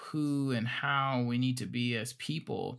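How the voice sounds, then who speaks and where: Someone with an American accent speaks on a very clean recording against a silent background. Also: man. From Gary, Indiana. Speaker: podcast host. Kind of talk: interview. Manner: halting, many fillers and repeats.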